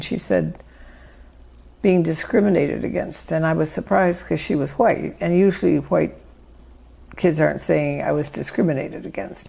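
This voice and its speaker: A woman with a Midwestern accent at a moderate pace. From US Midwest, Chicago. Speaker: author. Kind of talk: interview. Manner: conversational.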